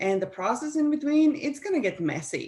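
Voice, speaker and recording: A woman with a Slovenian accent speaks with lively intonation. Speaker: life coach and business strategist, former professional athlete. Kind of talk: interview.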